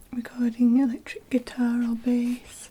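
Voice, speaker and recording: Someone soft-spoken talks at a very slow pace in a Northern English accent, with noticeable background noise. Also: woman. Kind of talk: ASMR unboxing, soft-spoken.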